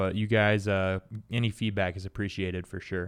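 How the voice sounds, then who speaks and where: Against a quiet background, a man with an American accent and a fairly low pitch speaks in a monotone, flat intonation. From Indiana, US Midwest. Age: 20s. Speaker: podcast co-host, fitness business owner. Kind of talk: casual chat.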